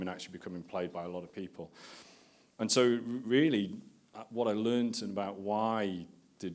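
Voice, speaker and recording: Very fast speech in a northern English accent. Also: man. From northern England. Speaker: marketing executive. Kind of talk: conference talk. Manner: casual and conversational.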